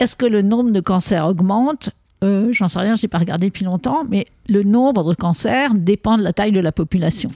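A woman talks at a moderate pace with medium pitch and ordinary pitch variation. Her tone is dark and mellow, and her loudness stays very even. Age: 70s. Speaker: epidemiologist. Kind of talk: interview.

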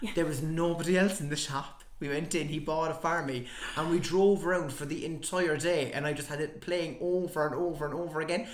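A man with an Irish accent talks at a fairly quick pace, with audible room echo and noticeable background noise. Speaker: podcaster. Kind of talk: casual chat.

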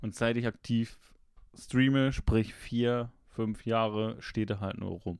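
Very slow pace and fairly even intonation from a man, medium in pitch. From Switzerland. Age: 20s. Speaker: streamer and chat regular. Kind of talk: casual chat.

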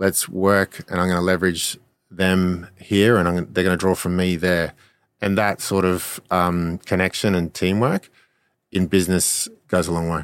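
On a very clean recording with a silent background, a man with an Australian accent speaks at a moderate pace in a very deep, low, monotone, flat voice. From Australia, Brisbane. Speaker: former Olympic rower and LinkedIn consultant. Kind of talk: casual interview.

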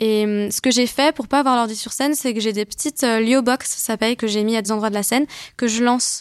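With a normal speaking voice, a woman speaks at a moderate pace in a fairly high pitch and fairly even intonation, captured in a very clean, silent-background recording that sounds dry and close with no echo. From western France (Brittany and Vendée). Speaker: singer-songwriter. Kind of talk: casual chat.

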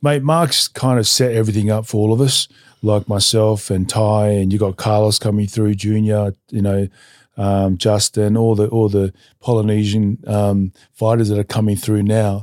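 A man with an Australian accent speaks at a moderate pace and a fairly low pitch, with fairly even intonation and very even loudness. The recording is very clean, dry and close, with a silent background and no echo. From Australia, Newcastle NSW. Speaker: retired mixed martial artist. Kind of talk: casual interview.

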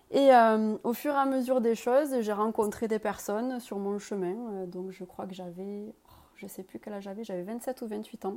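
A woman's fairly high voice with a dark, mellow tone, moderate pace, ordinary pitch variation and hardly any pauses. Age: 30s. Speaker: jet-ski champion and mental coach. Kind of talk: interview.

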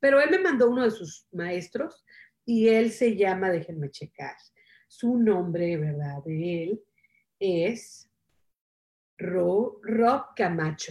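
A woman speaks at a very slow pace in a medium pitch, her intonation lively and broken by long, frequent pauses. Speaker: self-help show host. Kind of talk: casual motivational talk on live stream. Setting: Facebook Live stream.

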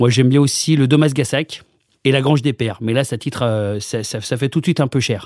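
In an ordinary speaking voice with ordinary pitch variation, the speaker talks at a fairly quick pace on a very clean recording with a silent background. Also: man, medium pitch for a man. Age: 40s. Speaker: comedian. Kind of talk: casual interview.

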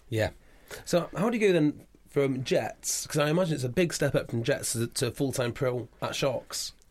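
Somewhat breathy, a man talks at a moderate pace with a fairly high pitch and lively intonation. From Wales. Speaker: rugby podcast host. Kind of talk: casual interview. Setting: studio.

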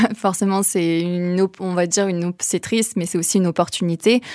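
With fairly even intonation, a woman with fairly low pitch talks at a fairly quick pace in a normal speaking voice. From southern France, Vaucluse. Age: young. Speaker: social entrepreneur. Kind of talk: interview.

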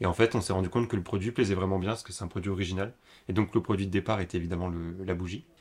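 A man's very deep, low voice, somewhat breathy, at a very fast pace, on a very clean recording with a silent background. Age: 20s. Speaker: young entrepreneur, upcycling craftsman. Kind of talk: casual interview.

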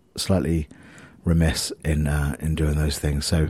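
A man speaks fairly slowly in a dark, mellow tone. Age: 40s. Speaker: musician and podcaster. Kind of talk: casual monologue. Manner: rambling, hesitant with fillers.

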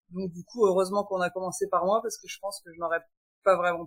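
A woman with a plain, everyday voice at a medium pitch. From France. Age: 40s. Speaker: guest sharing perinatal loss story. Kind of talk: testimony.

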